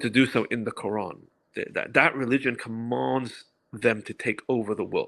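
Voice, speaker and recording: A man with a London accent on a very clean recording, silent background. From England, London. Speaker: activist commentator. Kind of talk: podcast interview. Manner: fast, repeating words.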